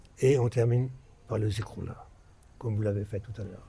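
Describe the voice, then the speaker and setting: This man has a dark, mellow tone at a medium pitch. His voice is somewhat breathy and his intonation fairly even. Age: 60s. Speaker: religious speaker. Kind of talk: religious talk to followers. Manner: halting, many repetitions.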